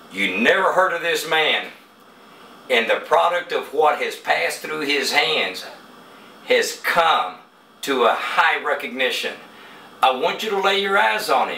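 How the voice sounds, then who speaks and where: With noticeable background noise and audible room echo, a man in an American accent speaks with long, frequent pauses. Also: fairly slow pace. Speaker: boxing interviewer. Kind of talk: casual interview. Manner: animated.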